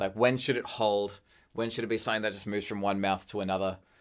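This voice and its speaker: A man with an Australian accent is heard on a very clean recording against a silent background. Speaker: animator, podcast co-host. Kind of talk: casual chat.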